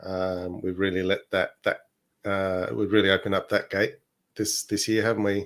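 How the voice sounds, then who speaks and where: Heard on a very clean recording with a silent background, a man with an Australian accent speaks at a moderate pace, his pitch fairly low and intonation fairly even. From Australia (born in Chile). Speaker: podcast co-host. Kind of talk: casual chat.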